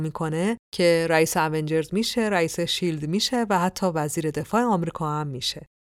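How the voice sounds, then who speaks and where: A woman talks at a fairly quick pace with a fairly low pitch and ordinary pitch variation. Hers is an unremarkable speaking voice, on a very clean recording with a silent background. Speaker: podcast host and storyteller. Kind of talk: scripted narration.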